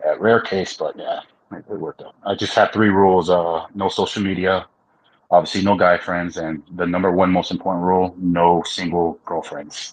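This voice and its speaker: The delivery has monotone, flat intonation at a moderate pace. Loudness swings widely over a quiet background. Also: man, very deep, low pitch for a man. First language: Spanish. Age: 30s. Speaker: trades business owner. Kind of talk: casual podcast chat. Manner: hesitant, many fillers and repetitions.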